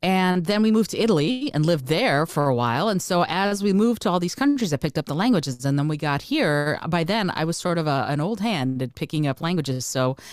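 Very wide pitch swings mark a woman speaking at a very fast pace in a Russian accent, on a very clean recording with a silent background. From Moldova, emigrated as a child. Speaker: coach and podcast host. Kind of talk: interview.

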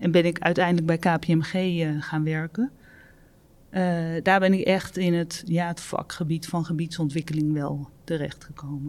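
This is a normal speaking voice with fairly even intonation. The pace is fairly slow. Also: woman, fairly low pitch for a woman. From Netherlands, North Brabant near Breda. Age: 50s. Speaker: property development executive. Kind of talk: interview.

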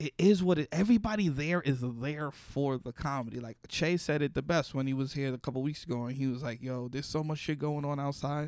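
With a New York accent, a man talks fairly quickly with hardly any pauses. His pitch is fairly high with ordinary variation, on a very clean recording with a silent background. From Bronx, New York. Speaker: comedian. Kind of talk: casual chat. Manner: animated.

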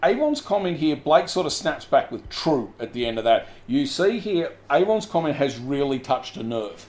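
A man with an Australian accent, high-pitched, at a moderate pace with very wide pitch swings and hardly any pauses. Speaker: podcast co-host. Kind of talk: casual chat.

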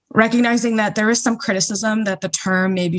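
Against a quiet background, a somewhat breathy woman talks with an American accent and ordinary pitch variation. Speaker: recent graduate and activist. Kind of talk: panel discussion.

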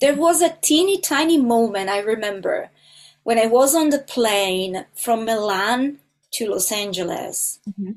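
A woman talks with an Italian accent at a fairly slow pace. Her pitch is fairly high, with lively intonation. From Italy, small country town. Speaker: film composer. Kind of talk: interview conversation.

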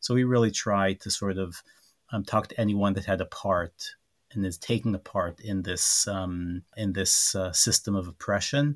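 Speaking with an Israeli accent, a man uses a fairly low pitch, a moderate pace and fairly even intonation. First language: Hebrew. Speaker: human rights organization director. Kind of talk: interview. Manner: halting, many repetitions and fillers.

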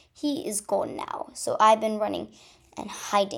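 With ordinary pitch variation, the clip offers plain reading aloud.

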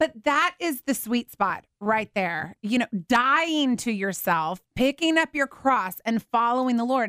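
In an American accent, a woman with a high pitch and a bright, sharp tone speaks at a fairly slow pace with hardly any pauses, lively intonation and very even loudness, the sound dry and close with no echo. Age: 40s. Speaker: radio host. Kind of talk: radio interview. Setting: radio studio.

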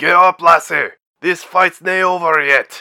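A man performs a put-on character voice in a Scottish accent, fairly high in pitch, bright and sharp with vocal fry. He talks at a fairly slow pace with fairly even intonation on a very clean recording with a silent background.

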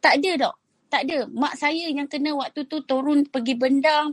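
A woman speaks in a high pitch with monotone, flat intonation. The sound is dry and close, with no echo. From Perak, Malaysia (Kuala Kurau / Bagan Serai). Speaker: food business founder. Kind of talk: interview testimony on a live audio chat. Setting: live audio chat room, at home.

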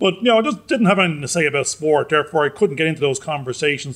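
A man is speaking. His intonation is lively. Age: 50s. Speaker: podcast co-host. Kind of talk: casual chat.

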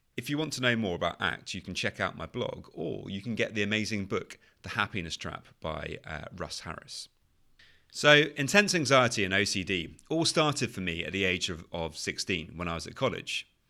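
A man with a British accent, fairly low in pitch, with a bright, sharp tone, very wide pitch swings and a fairly quick pace, on a very clean recording with a silent background. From UK. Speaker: anxiety and OCD coach, podcast host. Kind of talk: solo podcast monologue.

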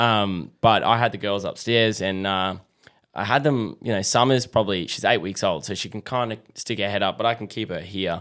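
A man speaks with an Australian accent at a moderate pace. His fairly low voice has ordinary pitch variation. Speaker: fatherhood podcaster. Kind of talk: casual chat. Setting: studio.

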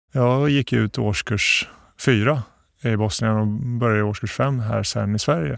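On a very clean recording with a silent background, a man speaks at a fairly slow pace in a medium pitch with ordinary pitch variation. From Bosnia, moved to Sweden at 11. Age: 40s. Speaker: municipal security chief, former police officer. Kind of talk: interview. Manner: hesitant, many fillers.

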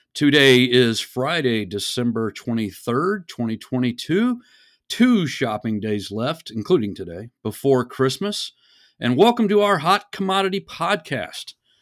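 A man with an American accent and medium pitch speaks at a fairly slow pace. His very wide pitch swings come through on a very clean recording with a silent background. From Texas. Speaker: risk management director. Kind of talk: quiz host casual chat.

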